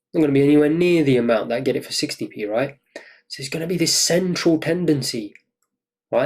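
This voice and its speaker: He talks at a very fast pace in a fairly high voice. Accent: British. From UK. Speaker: trading course instructor. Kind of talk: lecture. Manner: animated.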